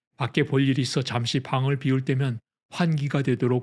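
A man talks with a medium pitch and a somewhat breathy quality. The recording is very clean, with a silent background. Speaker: audiobook narrator. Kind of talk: scripted audiobook narration, essay read aloud. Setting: studio recording, ASMR sleep audio.

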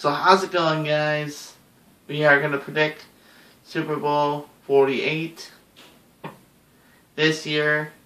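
Audible room echo surrounds a man who speaks at a very slow pace with long, frequent pauses. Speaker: sports vlogger. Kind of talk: casual vlog prediction. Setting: at home, someone sleeping. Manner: hushed, moderate volume; hesitant, many fillers. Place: home room. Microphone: webcam.

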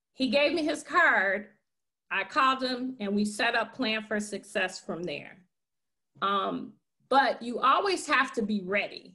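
With an American accent, a woman speaks at a fairly slow pace against a quiet background. Her tone is bright and sharp, and her intonation is lively. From Chicago, North Lawndale; Chicago. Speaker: nonprofit founder; interview guest. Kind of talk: interview. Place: home room. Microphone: webcam.

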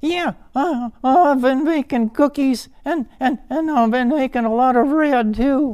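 Putting on a character voice, a man speaks at a fairly slow pace in an extremely high pitch.

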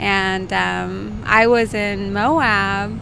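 A woman is speaking over noticeable background noise. The sound is dry, with no echo. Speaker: podcast guest. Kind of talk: interview answer. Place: car. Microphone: handheld.

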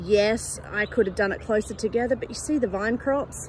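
A woman's voice with ordinary pitch variation, dry sound with no echo, and light background noise. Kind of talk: casual vlog chat. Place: garden. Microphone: phone near.

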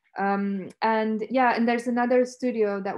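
A woman speaks at a moderate pace in a flat, monotone way. The background is quiet. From Romania. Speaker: academic researcher. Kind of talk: lecture. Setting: video call. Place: home room. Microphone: webcam.

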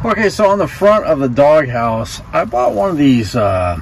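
Fairly slow? No: a man's moderate-paced speech, dry and echo-free, over light background noise. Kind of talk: casual vlog chat. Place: car. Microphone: phone near.

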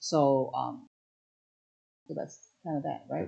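A woman speaks with a quiet background behind her. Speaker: craft demonstrator on a livestream. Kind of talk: livestream Q&A answer. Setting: live online stream. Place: shop.

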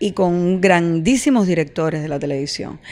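This woman speaks. Her pace is moderate. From Cuba, Villa Clara; Cuba. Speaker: actress. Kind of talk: interview. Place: home room. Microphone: handheld.

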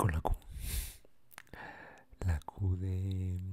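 A man speaks in a very deep, low voice with a dark, mellow tone. He is soft-spoken and somewhat breathy, with a relaxed tone. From Mexico. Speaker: ASMR creator. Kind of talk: ASMR encyclopedia reading. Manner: soft-spoken, relaxed. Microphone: studio mic.

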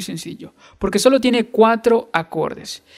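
Moderate-paced speech from a man, the background quiet. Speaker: guitar teacher. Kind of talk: tutorial. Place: home room.

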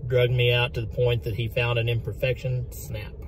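A man's voice comes through with light background noise. The sound is dry, with no echo. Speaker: fishing vlogger. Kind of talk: casual vlog chat. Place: car. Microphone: phone near.

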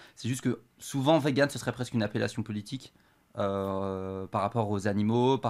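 A man with a plain, everyday voice speaks at a moderate pace and fairly low pitch, keeping his intonation fairly even. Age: 20s. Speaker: professional poker player; guest. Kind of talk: casual chat. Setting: studio. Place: studio. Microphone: studio mic.

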